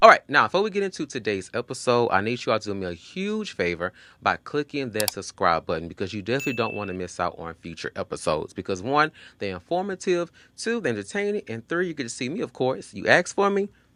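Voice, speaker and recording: A man at medium pitch speaks at a very fast pace, his bright, sharp tone marked by very wide pitch swings. The very clean recording has a silent background and a dry, close sound with no echo. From Texas, Houston. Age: 30s. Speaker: podcast host. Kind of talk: casual podcast monologue. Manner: animated.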